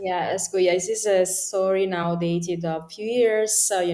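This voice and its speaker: With an Italian accent, a woman speaks at a fairly slow pace, her medium pitch carried by fairly even intonation. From Italy. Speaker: political commentator. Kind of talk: interview. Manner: halting, many fillers.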